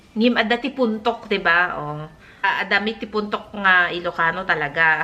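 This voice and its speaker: A woman's pitch varies in an ordinary way as noticeable background noise carries on behind her. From northern Philippines (Ilocos region). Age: 40s. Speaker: lifestyle vlogger. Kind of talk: casual vlog talk. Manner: halting, with many fillers and restarts.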